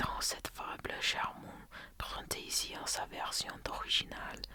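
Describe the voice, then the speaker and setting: A man whispering at a very slow pace over noticeable background noise. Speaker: ASMR content creator. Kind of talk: reading aloud from a book. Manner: slow, hesitant reading.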